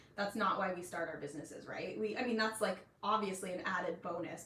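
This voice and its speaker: A woman at a very fast pace and medium pitch, with ordinary pitch variation and noticeable background noise. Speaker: online business coach for nutrition professionals. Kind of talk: live stream tutorial. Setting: live stream. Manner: casual, filler-heavy.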